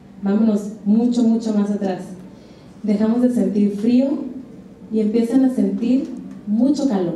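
A woman with a fairly high pitch talks at a fairly slow pace, leaving long, frequent pauses. Light background noise and audible room echo are present. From Mexico, Comalcalco, Tabasco. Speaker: chef. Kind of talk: lecture. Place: hall.

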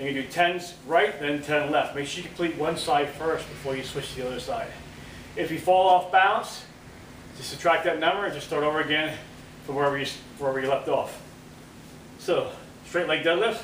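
A man talks at a fairly quick pace with ordinary pitch variation. Light background noise and audible room echo are present. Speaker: fitness trainer. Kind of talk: workout tutorial. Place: gym. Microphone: camera far.

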